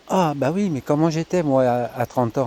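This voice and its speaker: At a fairly slow pace, a man talks in an ordinary speaking voice with ordinary pitch variation. The sound is dry and close with no echo. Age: 60s. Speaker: member of a community project. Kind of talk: interview testimony.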